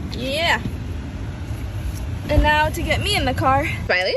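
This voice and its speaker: A woman speaks at a fairly slow pace. The sound is dry with no echo, though there is noticeable background noise. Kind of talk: casual vlog chat. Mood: cheerful, affectionate. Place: street. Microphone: phone near.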